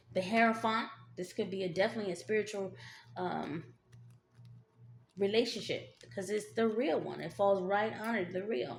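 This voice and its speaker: Music plays behind a woman who speaks at a moderate pace with long, frequent pauses. Her medium-pitched voice has lively intonation. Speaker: tarot reader. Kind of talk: tarot reading. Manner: halting, many fillers; casual, conversational.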